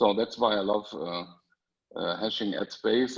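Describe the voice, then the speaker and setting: Speaking with a German accent, a man shows ordinary pitch variation. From Germany. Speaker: panelist. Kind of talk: testimony. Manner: halting, many fillers.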